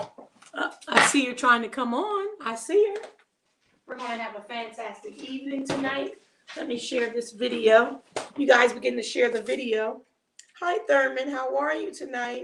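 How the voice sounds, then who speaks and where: Loud and lively in intonation, a woman with a high pitch speaks at a moderate pace. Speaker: cooking livestream host. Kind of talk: casual chat. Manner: soft-spoken.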